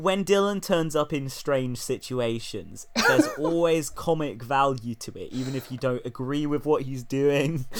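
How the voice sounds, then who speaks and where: Someone speaks at a fairly slow pace in a British accent, with hardly any pauses and ordinary pitch variation. Loudness swings widely, and noticeable background noise is present. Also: man, fairly high pitch for a man. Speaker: podcast host. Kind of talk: casual conversation about music.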